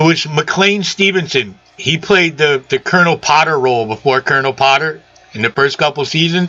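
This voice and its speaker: Keeping his loudness very even, a man talks at a moderate pace and a fairly high pitch with ordinary pitch variation. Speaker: sign maker and aquarium hobbyist. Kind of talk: casual chat.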